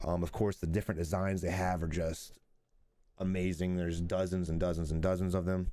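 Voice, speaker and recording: A man speaks quietly at a fairly quick pace, his pitch very deep and low and his tone dark and mellow. The delivery is monotone and flat, on a very clean recording with a silent background. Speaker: gaming streamer and reviewer. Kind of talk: product review. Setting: at home, early morning. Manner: quiet, kept low; casual.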